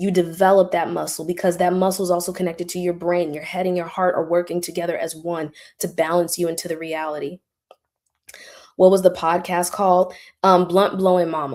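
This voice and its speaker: A woman speaks fairly quickly in a fairly low pitch with monotone, flat intonation on a very clean recording with a silent background. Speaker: spiritual teacher and live streamer. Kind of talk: live stream Q&A. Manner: casual, conversational.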